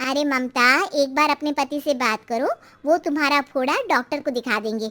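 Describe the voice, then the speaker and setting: A woman speaks in a cartoonish character voice with a high pitch. Her intonation stays fairly even. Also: moderate pace, dry, close sound with no echo. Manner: frank, warm.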